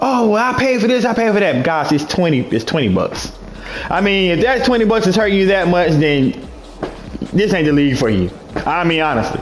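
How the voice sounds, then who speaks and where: A high-pitched man talks at a fairly quick pace with very wide pitch swings, amid audible room echo and noticeable background noise. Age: 30s. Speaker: online gaming league commissioner. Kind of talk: livestream monologue. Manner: halting.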